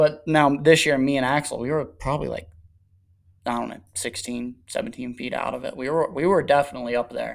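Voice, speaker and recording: A man with a fairly high pitch uses an ordinary speaking voice, talking fairly quickly while his pitch varies in an ordinary way. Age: 20s. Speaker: motocross and 110 rider. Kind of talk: casual chat.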